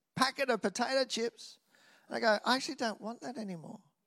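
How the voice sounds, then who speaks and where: A man with an Australian accent speaks in a raised, projected voice with a bright, sharp, animated tone. The recording is very clean, with a silent background. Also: dry, close sound with no echo. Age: 50s. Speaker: preacher. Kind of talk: sermon.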